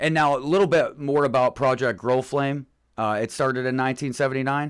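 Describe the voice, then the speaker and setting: At a fairly quick pace, a man speaks in a medium pitch with fairly even intonation. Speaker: podcast co-host. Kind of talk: casual chat. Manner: fast.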